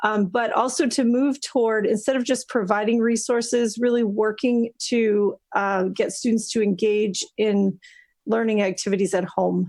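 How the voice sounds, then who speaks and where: At a moderate pace, a woman with an unremarkable speaking voice talks at a fairly high pitch with fairly even intonation and very even loudness over a quiet background. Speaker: school district administrator. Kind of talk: presentation at a school committee meeting.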